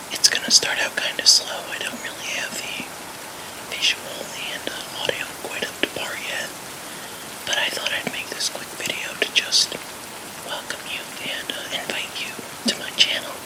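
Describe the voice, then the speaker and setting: A man whispering at a moderate pace, with big swings in loudness, long and frequent pauses, and noticeable background noise. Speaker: graphic designer; ASMR creator. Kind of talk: ASMR channel introduction. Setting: soft rain sounds in the background. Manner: whispered.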